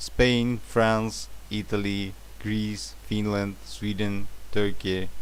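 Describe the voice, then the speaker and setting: Speaking with a Russian accent, a man goes very slowly. Room echo is audible. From Russia, St. Petersburg. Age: 30s. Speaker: translator. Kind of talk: job application self-introduction. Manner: halting, many fillers.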